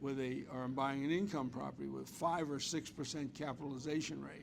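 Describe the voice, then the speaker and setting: A man speaks at a moderate pace with fairly even intonation and a fairly high pitch. Room echo is audible. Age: 70s. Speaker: real estate investor. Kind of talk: interview.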